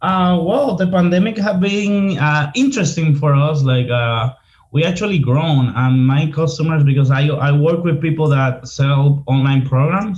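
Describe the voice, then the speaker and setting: A somewhat breathy man at a fairly high pitch, moderate pace, very even loudness, ordinary pitch variation and hardly any pauses. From Dominican Republic, Santo Domingo. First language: Spanish. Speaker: marketing consultant. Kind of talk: casual interview.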